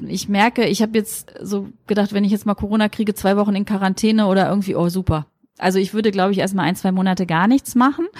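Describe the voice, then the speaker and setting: Very fast and somewhat breathy, a woman talks in a medium pitch. The very clean recording has a silent background and a dry, close sound with no echo. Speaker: pediatrician. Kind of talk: interview. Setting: pediatric practice, windows open.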